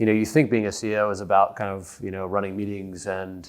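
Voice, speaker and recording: A normal speaking voice with an American accent at a fairly quick pace, in a very clean recording with a silent background. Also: man. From United States. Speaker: company executive. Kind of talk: podcast interview.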